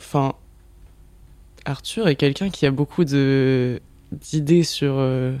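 A man with a dark, mellow tone talks at a very slow pace, with fairly even intonation. Long pauses come often. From southern France. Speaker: photographer and director. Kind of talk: casual chat.

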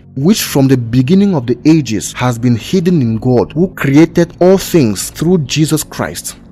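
A man's intense, medium-pitched voice with lively intonation at a fairly slow pace, hardly any pauses, and music in the background. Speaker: Bible teacher. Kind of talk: fervent prayer and scripture-based teaching, preaching. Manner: intense, earnest, impassioned, rising in fervor.

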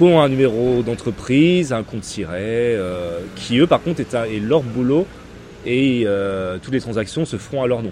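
Using a plain, everyday voice, a man talks at a fairly slow pace and medium pitch with lively intonation. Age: 30s. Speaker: sneaker reseller. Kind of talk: casual interview.

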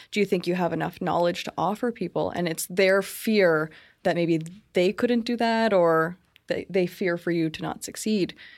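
A woman with a Canadian accent and a normal speaking voice talks at a moderate pace, her fairly low pitch held in fairly even intonation, on a very clean recording with a silent background. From Brantford, Ontario, Canada. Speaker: business consultant. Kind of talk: casual interview. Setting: studio.

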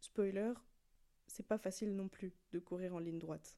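A dark, mellow tone comes through in this woman's voice. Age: 20s. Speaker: podcast host and track athlete. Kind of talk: solo podcast monologue. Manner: casual, conversational.

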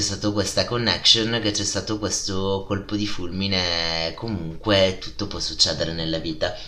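A man with a strong Italian accent talks at a moderate pace with a fairly low pitch, ordinary pitch variation and hardly any pauses. His loudness swings widely, with audible room echo and noticeable background noise. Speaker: podcast host. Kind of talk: casual podcast monologue. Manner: animated.

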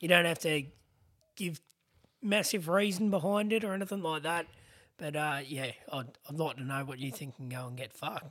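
With an Australian accent, a man talks at a fairly quick pace broken by long, frequent pauses. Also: fairly high pitch for a man, ordinary pitch variation. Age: 30s. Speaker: podcast host with spinal cord injury. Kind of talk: casual chat. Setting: studio.

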